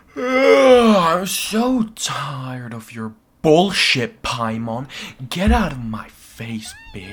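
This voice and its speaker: A man shouting in a put-on character voice, fairly high in pitch with very wide swings, at a very slow pace. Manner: yelling, hostile.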